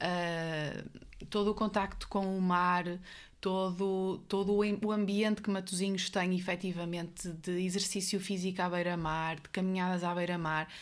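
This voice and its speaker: In a northern Portuguese accent, a woman speaks at a moderate pace in a medium pitch with monotone, flat intonation. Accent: northern Portuguese (Guimarães). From northern Portugal, Guimarães. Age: 30s. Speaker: psychiatrist. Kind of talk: podcast interview.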